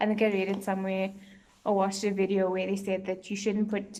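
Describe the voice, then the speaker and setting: Audible room echo surrounds a woman speaking at medium pitch in a monotone, flat way. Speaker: beauty vlogger. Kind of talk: casual product review vlog. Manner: hesitant, many fillers.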